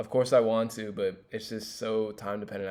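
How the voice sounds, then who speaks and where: This man speaks with an American accent at a fairly low pitch. His intonation is monotone and flat. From Los Angeles, US. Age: 20s. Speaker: student. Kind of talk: class presentation monologue. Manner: casual with fillers.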